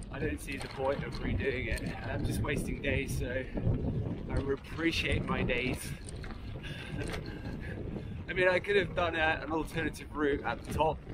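A man speaks at a moderate pace against loud background noise. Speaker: touring cyclist vlogger. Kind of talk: casual vlog chat. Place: bicycle. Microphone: camera far.

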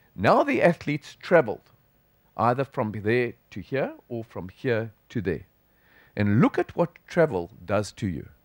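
In a South African accent, a man talks at medium pitch with lively intonation. The background is quiet and the sound is dry with no echo. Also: fairly slow pace. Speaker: sports physician, professor; professor. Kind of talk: conference lecture. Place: hall.

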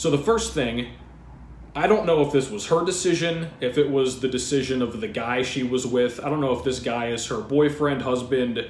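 With audible room echo and light background noise, a man talks at a moderate pace with ordinary pitch variation. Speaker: fitness channel host. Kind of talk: commentary. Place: home room. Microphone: webcam.

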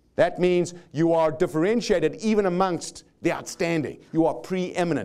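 A man with a South African accent speaks at a moderate pace in a dark, mellow tone. His pitch is high for a man with ordinary variation, over a quiet background. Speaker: motivational speaker. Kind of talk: live seminar talk. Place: stage. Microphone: lapel.

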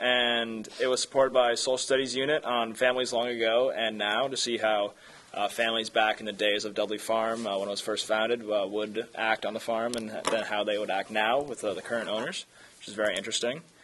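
A man at a fairly quick pace, with fairly even intonation and light background noise. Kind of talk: meeting report. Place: hall.

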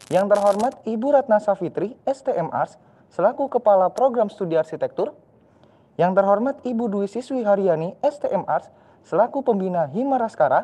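A man speaks at a high pitch with lively intonation. His tone is dark and mellow. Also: moderate pace. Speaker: student master of ceremonies. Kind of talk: formal event emceeing. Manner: formal. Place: studio.

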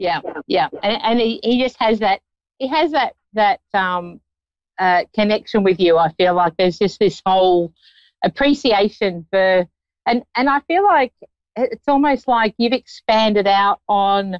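A woman at a fairly slow pace, dry sound with no echo, quiet background. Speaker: psychic show host. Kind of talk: psychic reading for a caller. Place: open country. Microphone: phone near.

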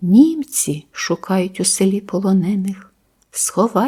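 The voice is plain reading aloud, with quiet behind it. Its pitch shifts in an ordinary way.

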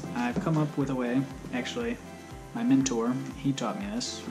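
Loud music plays in the background while the speaker talks at a moderate pace. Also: man. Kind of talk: tutorial. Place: garage. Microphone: phone near.

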